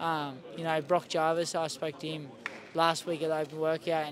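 With an Australian accent, a man speaks at a fairly high pitch in a dry recording with no echo and light background noise. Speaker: professional boxer. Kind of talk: casual interview. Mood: relaxed, candid, some swearing. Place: stadium.

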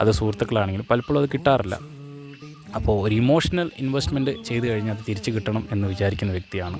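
A man with a fairly low voice and ordinary pitch variation talks over noticeable background noise. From Wayanad, Kerala, India. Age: 30s. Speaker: tuition teacher; public speaker and event announcer. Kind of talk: matrimonial self-introduction to camera.

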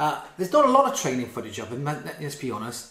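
A man speaks in a somewhat breathy voice, with audible echo from the room. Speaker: boxing commentator. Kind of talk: commentary.

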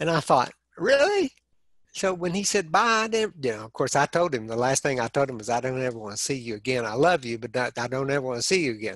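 With a West Texas accent, a man of medium pitch talks at a very fast pace in an animated tone with lively intonation. The background is quiet, and the sound is dry with no echo. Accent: West Texas Southern US. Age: 60s. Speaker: heart attack survivor; interview guest. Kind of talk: interview storytelling. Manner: animated humorous storyteller. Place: home room.

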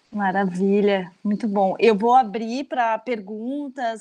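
Against a quiet background, a woman with a fairly high pitch and a dark, mellow tone speaks at a very slow pace. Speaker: course moderator, professor; lecture moderator, professor. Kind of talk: moderating, introduction. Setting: video call. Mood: reflective, engaged. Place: home room. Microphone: earbuds.

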